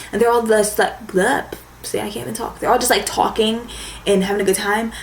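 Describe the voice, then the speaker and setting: In a room with audible echo and noticeable background noise, a woman talks at a fairly quick pace, her fairly high voice held to fairly even intonation. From US, raised in the suburbs. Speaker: beauty vlogger. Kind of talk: casual chat.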